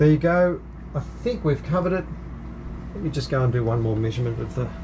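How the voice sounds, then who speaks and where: Both noticeable background noise and audible room echo surround a man who talks at a very fast pace. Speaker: sailing vlogger. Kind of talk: casual demonstration vlog. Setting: aboard a sailing yacht. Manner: halting, many fillers; soft-spoken.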